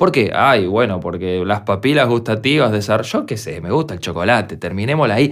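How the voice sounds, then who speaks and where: A man with a plain, everyday voice and fairly low pitch speaks at a fairly quick pace with hardly any pauses and lively intonation. The recording is very clean, with a silent background. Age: 40s. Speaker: music producer and podcast host. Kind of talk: solo podcast monologue.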